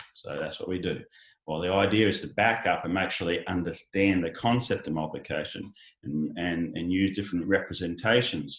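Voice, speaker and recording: Over a silent background in a very clean recording, a man with an Australian accent speaks at a fairly quick pace in a very deep, low pitch. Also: ordinary pitch variation. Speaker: education company founder. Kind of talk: panel discussion. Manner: halting, many fillers.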